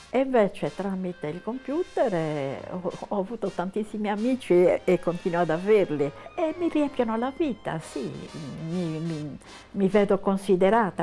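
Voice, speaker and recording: Very wide pitch swings from a woman at a medium pitch, with music in the background. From Cagliari, Sardinia. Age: 80s+. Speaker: blogger. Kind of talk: interview answer.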